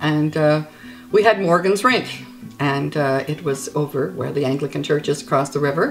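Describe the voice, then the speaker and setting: A woman with a New Brunswick accent speaks at a moderate pace in a very deep, low pitch. Her intonation is lively, and music plays in the background. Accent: Atlantic Canadian (New Brunswick). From Gray Rapids, New Brunswick, Canada. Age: old. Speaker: storyteller. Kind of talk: casual reminiscence, interview answer.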